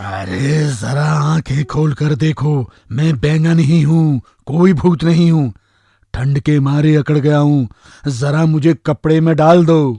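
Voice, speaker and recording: In a cartoonish character voice, a man talks at a fairly slow pace and a fairly high pitch. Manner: cheeky, boastful.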